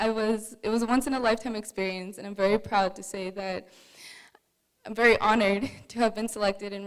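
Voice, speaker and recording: At a very fast pace, a woman with a medium pitch talks with fairly even intonation. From Saskatchewan First Nations reserve, Canada. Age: young. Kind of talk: personal testimony speech. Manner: halting.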